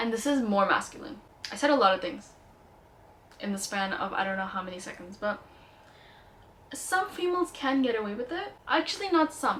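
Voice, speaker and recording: The speaker talks at a fairly quick pace with very wide pitch swings and long, frequent pauses. Noticeable background noise sits behind the voice. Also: woman, high pitch for a woman. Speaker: beauty and lifestyle vlogger. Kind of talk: casual product review. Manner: animated.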